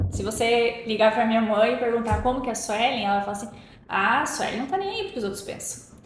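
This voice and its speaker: Over noticeable background noise and audible room echo, a woman with a fairly high pitch speaks at a fairly quick pace in an animated tone with ordinary pitch variation. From Paraná, southern Brazil. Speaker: podcast guest. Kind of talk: interview conversation. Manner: animated, expressive.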